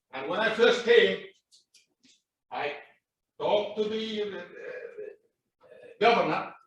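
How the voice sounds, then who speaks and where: Audible room echo around a man's high voice, moving at a fairly slow pace. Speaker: property owner at hearing. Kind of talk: public hearing testimony. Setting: city plan commission meeting. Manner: loud.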